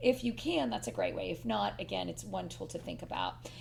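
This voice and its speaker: A woman talks at a fairly quick pace. She has an American accent. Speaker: professor and podcast co-host. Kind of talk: casual chat. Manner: fast; animated.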